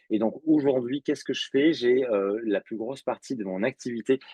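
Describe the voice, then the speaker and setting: A man's medium-pitched voice shows ordinary pitch variation at a moderate pace. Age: 40s. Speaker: public speaker and facilitator on equality. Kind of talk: podcast interview. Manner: hesitant, many fillers.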